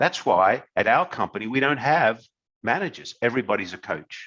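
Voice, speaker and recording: A man with an Australian accent and a bright, sharp tone speaks at a moderate pace. His pitch swings very widely against a quiet background. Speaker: company executive. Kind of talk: webinar talk. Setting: webinar.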